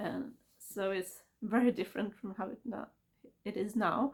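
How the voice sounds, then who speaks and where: Speaking at a fairly slow pace, a woman has a fairly high pitch with vocal fry. Her pitch varies in an ordinary way. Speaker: book vlogger. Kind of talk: casual book review monologue. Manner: halting.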